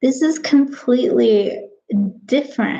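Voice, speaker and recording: This is a woman speaking. Her pitch is high. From California, Mexican-American. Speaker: vlogger, live show host. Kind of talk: casual live-stream monologue. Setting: live stream to camera at home. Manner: casual, rambling with fillers.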